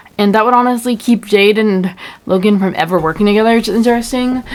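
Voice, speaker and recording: A woman mumbles at a very fast pace. Her pitch varies in an ordinary way. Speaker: fan commentary youtuber. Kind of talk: casual video commentary. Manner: mumbling; halting, many fillers.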